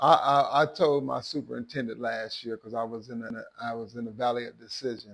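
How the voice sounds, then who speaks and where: Speaking at a fairly quick pace, a man of medium pitch talks. He leaves hardly any pauses. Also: big swings in loudness. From Missouri. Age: 60s. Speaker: high school football coach. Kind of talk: interview. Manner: animated.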